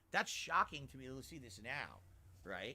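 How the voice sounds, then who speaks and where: Vocal fry colors a man's bright, sharp tone as he talks. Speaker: gaming YouTuber. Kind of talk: casual reaction stream.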